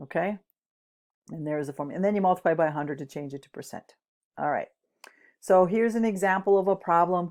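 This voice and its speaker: A woman with a fairly low pitch and ordinary pitch variation talks at a very fast pace, her loudness swinging widely. Long, frequent pauses break up her speech on a very clean recording with a silent background. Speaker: chemistry teacher. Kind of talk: lecture.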